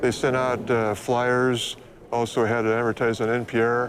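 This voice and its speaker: Fairly quick speech in an American accent against noticeable background noise. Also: man. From United States. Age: 60s. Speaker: mountain climber. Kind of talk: interview.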